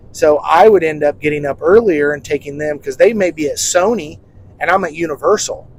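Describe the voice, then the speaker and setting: A man talks at a fairly quick pace and fairly high pitch with ordinary pitch variation. It is a normal speaking voice. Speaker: podcast host. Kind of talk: casual chat. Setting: in a car. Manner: casual, chatty.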